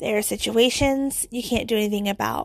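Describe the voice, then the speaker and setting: With fairly even intonation, a woman speaks at a fairly high pitch on a very clean recording with a silent background. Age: 30s. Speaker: podcast host. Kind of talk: personal reflection monologue. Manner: casual, filler-heavy.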